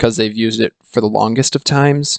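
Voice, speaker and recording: A man at a fairly slow pace, dry and close with no echo. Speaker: hockey YouTuber. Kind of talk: casual commentary monologue.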